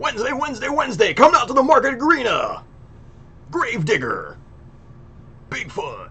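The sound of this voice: Doing a put-on character voice at an extremely high pitch, a man talks at a fairly quick pace with long, frequent pauses over light background noise.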